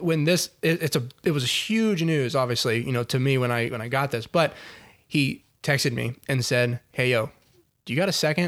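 At a moderate pace, a man speaks in an ordinary speaking voice at a medium pitch. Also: ordinary pitch variation. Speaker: podcast guest, host's childhood friend. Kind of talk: casual chat.

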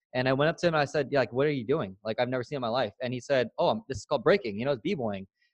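In an American accent, the speech runs at a very fast pace with hardly any pauses, with a dry, close sound with no echo and a quiet background. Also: man, medium pitch for a man, ordinary pitch variation. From San Diego, California. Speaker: digital marketing and networking entrepreneur. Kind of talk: casual interview chat. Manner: animated.

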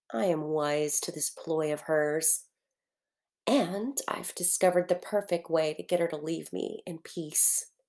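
A woman's normal speaking voice, fairly low in pitch with ordinary pitch variation, in a very clean recording with a silent background. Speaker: fiction narrator. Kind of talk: literary audiobook reading, first-person fictional letter. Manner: intimate, wistful, earnest; measured, reflective narration pace.

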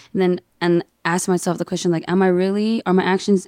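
Delivered at a moderate pace in a flat monotone, the voice has a dark, mellow tone on a very clean recording with a silent background. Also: woman. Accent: American. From Inland Empire, Southern California. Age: 20s. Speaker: DJ. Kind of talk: casual chat.

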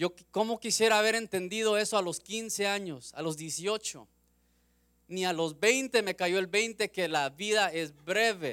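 A bright, sharp tone moves at a fairly slow pace with ordinary pitch variation in a very clean recording with a silent background. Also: man, high pitch for a man. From US West Coast, Los Angeles. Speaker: lay preacher. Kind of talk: sermon. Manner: halting.

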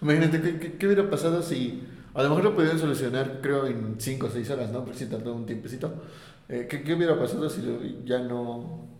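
Over noticeable background noise and audible room echo, a man talks at a fairly quick pace and fairly high pitch, with ordinary pitch variation. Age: 20s. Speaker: podcast co-host. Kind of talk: casual chat.

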